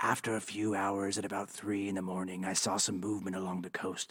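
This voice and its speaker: A man's put-on character voice, fairly low in pitch, weary in tone, at a moderate pace. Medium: audio drama. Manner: confessional, world-weary.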